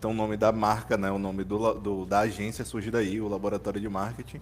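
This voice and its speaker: This man has an unremarkable speaking voice with fairly low pitch. He talks fairly quickly, his intonation fairly even. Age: 20s. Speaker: marketing agency founder. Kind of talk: casual chat.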